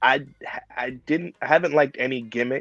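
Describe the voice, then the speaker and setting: Music plays in the background as a man with a New York accent speaks at a medium pitch and moderate pace, the sound dry and close with no echo. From Brooklyn, New York. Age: 40s. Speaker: professional wrestler. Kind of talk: interview.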